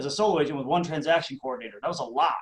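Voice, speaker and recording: A man's fairly high-pitched voice with a slight Minnesota accent. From Minnesota, Twin Cities suburbs. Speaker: real estate coach. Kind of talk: interview.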